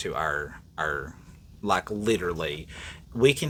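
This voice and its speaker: A man's fairly low pitch with very wide pitch swings, in an East Tennessee accent. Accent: Southern belle, East Tennessee dialect. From East Tennessee, Appalachia. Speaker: podcast co-host. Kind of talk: casual chat. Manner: animated.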